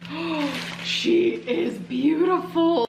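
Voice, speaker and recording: This is a put-on character voice. It sounds female and has a high pitch. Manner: gushing, cooing.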